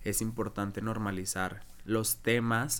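This is a man talking. He speaks with a Mexican accent. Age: 20s. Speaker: drag queen. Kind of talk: casual interview, personal story.

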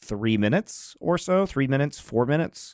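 On a very clean recording with a silent background, an unremarkable speaking voice moves at a moderate pace. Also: man. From Colorado, US. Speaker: esports podcast co-host. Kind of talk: casual chat.

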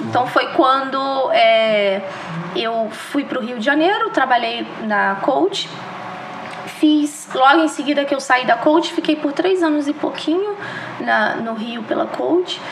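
Room echo and background noise are both noticeable. The speech is very slow, with lively intonation. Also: woman, high pitch for a woman. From Brazil, Minas Gerais (Juiz de Fora). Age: 30s. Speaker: retail store manager. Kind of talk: interview podcast.

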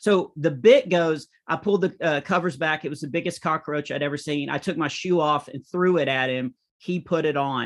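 A man speaks at a moderate pace in a fairly high pitch, with ordinary pitch variation, hardly any pauses and a quiet background. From small-town US. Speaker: comedian. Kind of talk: interview.

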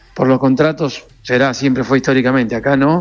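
A plain, everyday voice at a fairly quick pace. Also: man. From Argentina, Corrientes. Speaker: racing team owner. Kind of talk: radio interview. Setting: phone call.

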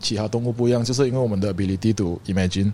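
A man's dark, mellow tone sits at medium pitch, with ordinary pitch variation. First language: English and Hokkien rather than Mandarin (speaking Chinese). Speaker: streetwear brand founder and shop owner. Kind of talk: casual chat.

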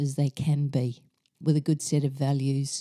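Dry and close with no echo, this clip features a woman with a New Zealand accent. Her very deep, low voice has a dark, mellow tone and flat, monotone intonation. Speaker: yoga and meditation teacher. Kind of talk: casual chat.

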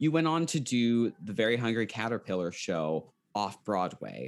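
An unremarkable speaking voice from a medium-pitched man, fairly slow, in a very clean recording with a silent background. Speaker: podcast host. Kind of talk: interview.

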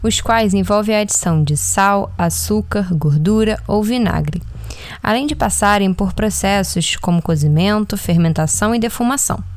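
A woman's fairly slow speech holds a very even loudness while noticeable background noise continues. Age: 20s. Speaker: nutrition student podcast host. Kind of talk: scripted narration.

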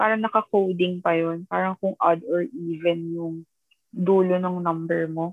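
The woman speaking has a fairly low pitch. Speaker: podcast co-host. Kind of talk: casual chat. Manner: halting, hesitant.

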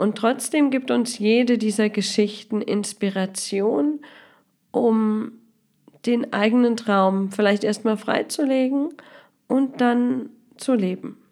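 In a very clean recording with a silent background, a woman speaks very slowly with long, frequent pauses and very even loudness. Her tone is dark and mellow, her pitch fairly high, and her pitch variation ordinary. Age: 30s. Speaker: podcast host and life coach. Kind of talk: podcast introduction monologue.

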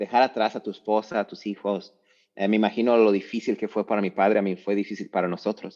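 Fairly low male voice at a fairly quick pace, fairly even in intonation, over a quiet background. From Mexico, Lagos de Moreno, Jalisco. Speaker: university mentor and speaker. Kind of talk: casual interview. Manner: halting, repeats words and fillers.

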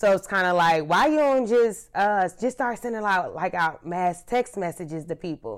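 Over a silent background in a very clean recording, a woman speaks at a moderate pace and medium pitch with lively intonation. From US South, Charlotte, North Carolina. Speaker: social media content creator. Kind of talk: casual chat.

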